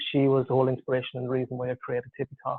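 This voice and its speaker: A man speaks with an Irish accent at a medium pitch. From Ireland. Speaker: tech founder, engineer and parent. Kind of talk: webinar presentation. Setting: online webinar.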